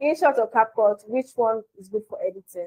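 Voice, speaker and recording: A woman speaks fairly slowly in a high pitch, her dark, mellow tone captured dry and close with no echo. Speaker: mobile videography instructor. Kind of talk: livestream tutorial. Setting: live stream with chat. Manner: loud.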